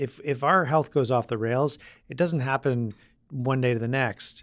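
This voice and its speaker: On a very clean recording with a silent background, a man with a plain, everyday voice speaks at medium pitch and a moderate pace, with fairly even intonation. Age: 40s. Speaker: chef. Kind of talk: casual chat.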